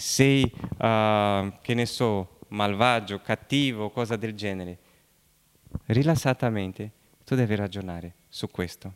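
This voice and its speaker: A man with a Brazilian accent talks fairly slowly at a medium pitch with ordinary pitch variation, in a dry, close sound with no echo. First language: Portuguese (speaking Italian). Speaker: pastor. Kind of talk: sermon. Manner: halting.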